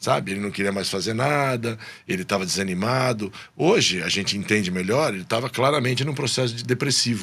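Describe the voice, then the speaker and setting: A man's ordinary speaking voice, medium in pitch, at a fairly quick pace with ordinary pitch variation. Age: 60s. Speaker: business executive. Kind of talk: podcast interview.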